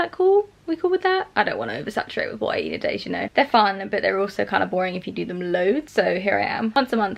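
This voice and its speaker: A woman with a British accent talks at a very fast pace with big swings in loudness against noticeable background noise. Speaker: vegan lifestyle vlogger. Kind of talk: casual vlog. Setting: at home, in bed.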